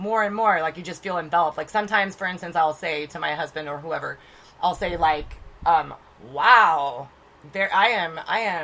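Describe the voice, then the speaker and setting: At a moderate pace, a woman speaks in an animated tone at a fairly low pitch, with ordinary pitch variation. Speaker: podcast co-host, spiritual medium. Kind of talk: casual chat.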